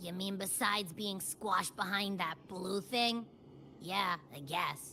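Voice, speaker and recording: With clear background noise, a female-sounding voice at medium pitch takes on a put-on character voice at a fairly slow pace. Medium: video game. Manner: chatty, playful.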